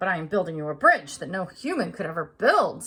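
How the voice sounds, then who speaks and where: A woman growls in a put-on character voice at medium pitch. She moves at a fairly quick pace. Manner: cold.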